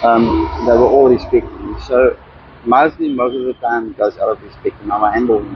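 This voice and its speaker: Background noise is noticeable throughout. A man speaks at a moderate pace. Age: 40s. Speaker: homeless man, diesel mechanic. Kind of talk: interview.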